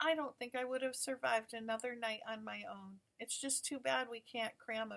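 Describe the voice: Fairly even intonation in plain reading aloud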